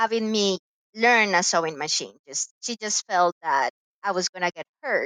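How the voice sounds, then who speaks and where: This voice has a bright, sharp tone and a dry, close sound with no echo, moving at a moderate pace with ordinary pitch variation. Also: woman, medium pitch for a woman. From Colombia. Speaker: quilter and entrepreneur. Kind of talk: casual interview.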